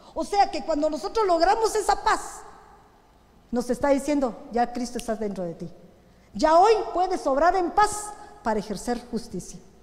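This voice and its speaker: A woman's high pitch with very wide pitch swings at a moderate pace, with long, frequent pauses, audible room echo and noticeable background noise. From Guatemala. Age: 60s. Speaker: pastor. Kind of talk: sermon. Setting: church.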